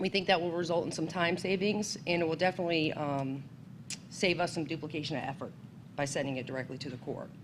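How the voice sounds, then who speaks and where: Her voice sits fairly low for a woman. The pitch varies in an ordinary way. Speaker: state environmental agency staff presenter. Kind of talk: seminar presentation. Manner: loud.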